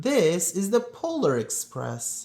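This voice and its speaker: This man speaks in a high pitch. He is doing a put-on character voice. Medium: read story. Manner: calm, assured.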